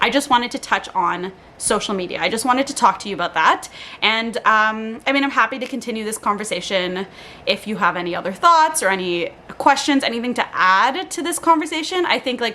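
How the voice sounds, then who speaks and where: A woman's fairly high, animated voice at a fairly quick pace, with very wide pitch swings and noticeable background noise. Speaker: lifestyle vlogger. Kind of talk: casual monologue. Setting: home, on living room floor. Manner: fast.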